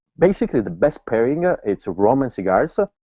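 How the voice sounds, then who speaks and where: The speaker has an Italian accent and very wide pitch swings. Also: man. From Italy. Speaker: cigar master blender. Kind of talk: interview.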